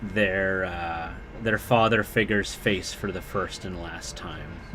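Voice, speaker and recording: This man's pitch varies in an ordinary way while noticeable background noise carries on around him. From interior British Columbia, Canada. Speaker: miniature painting streamer. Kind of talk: casual livestream chat while painting. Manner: casual, halting with fillers.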